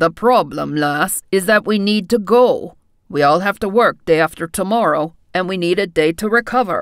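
A woman's put-on character voice at medium pitch and a moderate pace. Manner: irritable, sarcastic.

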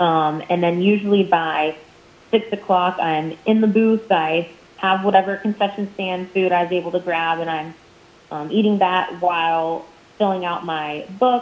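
A woman with a normal speaking voice and a medium pitch talks at a moderate pace. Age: 20s. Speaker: minor league baseball play-by-play broadcaster. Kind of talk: casual interview.

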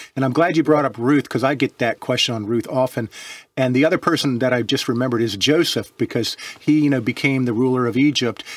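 Someone speaks at a very fast pace with fairly even intonation, the sound dry with no echo against a quiet background. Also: man. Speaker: religious teacher co-host. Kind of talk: interview conversation.

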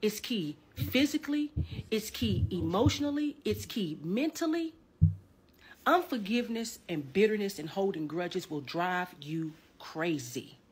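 Somewhat breathy and fairly slow, this woman's voice moves through very wide pitch swings. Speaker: minister. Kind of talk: sermon. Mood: earnest, preachy. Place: home room.

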